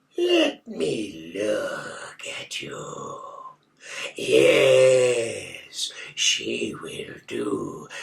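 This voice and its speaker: In a raspy put-on character voice, a man drawls at a very slow pace. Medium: read story. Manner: strangely elongated syllables.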